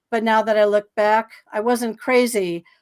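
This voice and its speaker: A woman with an ordinary speaking voice, fairly high pitch and fairly slow pace, in a very clean recording with a silent background. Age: 60s. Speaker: psychic guest on a paranormal podcast. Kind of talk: interview, personal life story. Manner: casual, with many fillers and restarts.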